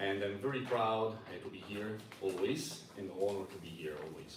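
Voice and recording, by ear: Audible room echo surrounds a man who speaks at a moderate pace in an Italian accent.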